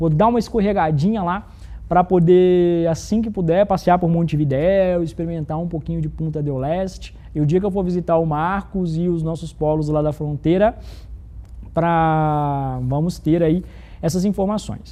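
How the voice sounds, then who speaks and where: This man's voice is high-pitched and dark and mellow, with fairly even intonation. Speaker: corporate program presenter. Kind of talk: live corporate broadcast. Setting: studio, live internal broadcast with virtual set. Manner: fast.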